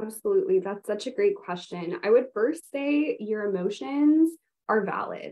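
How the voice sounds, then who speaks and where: A woman speaks at a high pitch. Her voice has very wide pitch swings. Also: moderate pace. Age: 20s. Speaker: patient advocate and incoming medical student. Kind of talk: educational panel discussion. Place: home room. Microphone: video call.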